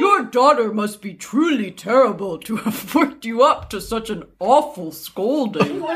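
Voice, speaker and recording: At a moderate pace, a man puts on a character voice with an extremely high pitch. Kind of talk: posh, formal.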